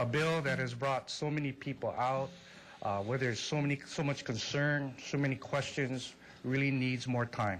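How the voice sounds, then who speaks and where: The speaker has a Hawaiian accent and a moderate pace. Intonation stays fairly even, and loudness is very even. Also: man, medium pitch for a man. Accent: Hawaiian local English. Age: 50s. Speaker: public testifier at a legislative hearing. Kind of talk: public testimony.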